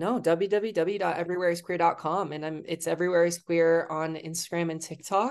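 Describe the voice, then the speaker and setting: The voice is a plain, everyday voice with an American accent. The background is quiet. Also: woman. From Wisconsin, US Midwest. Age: 20s. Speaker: founder of a queer business map. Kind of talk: casual interview chat.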